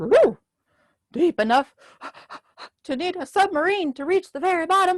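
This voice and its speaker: An extremely high put-on character voice moves at a moderate pace. Long pauses break it up often. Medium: read story. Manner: hearty, friendly.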